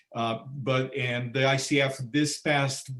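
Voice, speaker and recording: Speaking in a Portuguese accent, a man at medium pitch keeps his intonation fairly even. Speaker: coach, translator of coaching standards. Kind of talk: webinar Q&A answer. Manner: halting, repeats words.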